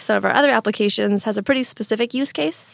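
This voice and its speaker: Someone with an American accent is heard in a very clean recording, dry and close with no echo and a silent background. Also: woman. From US Northwest (Eastern Washington). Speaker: software product manager. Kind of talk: interview. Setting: studio.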